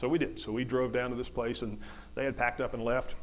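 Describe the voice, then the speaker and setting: A man with an Appalachian accent talks at a very fast pace with vocal fry. His medium-pitched voice stays monotone and flat. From West Virginia. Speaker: hunter and motivational speaker. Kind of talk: storytelling talk. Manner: halting, many repetitions.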